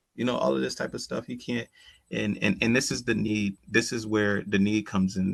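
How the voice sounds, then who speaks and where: This man speaks with an American accent at a fairly quick pace. His fairly low pitch comes in a plain, everyday voice. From Connecticut (Bridgeport). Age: 30s. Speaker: community program manager. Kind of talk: podcast interview. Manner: casual, conversational with fillers.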